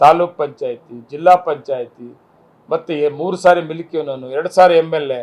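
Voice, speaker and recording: A man talks in an ordinary speaking voice at a fairly high pitch. His intonation stays fairly even. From Kolar district, Karnataka (Malur). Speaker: politician, sitting MLA. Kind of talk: press interview statement.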